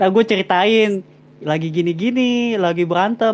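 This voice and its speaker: This man talks at a moderate pace in a high pitch. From Jakarta, Indonesia (Betawi Chinese). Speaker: live stream host. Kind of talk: casual live stream chat. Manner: casual, slangy.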